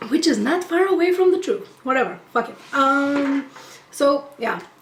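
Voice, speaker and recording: Lively intonation over noticeable background noise. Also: woman, high pitch for a woman, fairly slow pace. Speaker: YouTuber. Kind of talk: storytime rant. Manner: casual.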